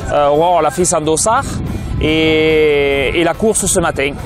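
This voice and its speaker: With music in the background, a man's speech shows ordinary pitch variation. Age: 40s. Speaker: trail runner. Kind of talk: interview. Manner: hesitant with fillers.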